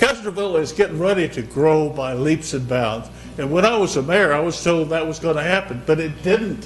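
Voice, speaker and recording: Music plays behind a man who speaks at a fairly quick pace in a fairly high voice with lively intonation and audible room echo. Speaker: former mayor speaking at public comment. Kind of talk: public comment at council meeting. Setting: council chamber. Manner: loud.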